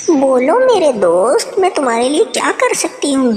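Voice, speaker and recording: A cartoonish character voice, female-sounding and high in pitch. Clear background noise runs behind it. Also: moderate pace. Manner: gentle, courteous.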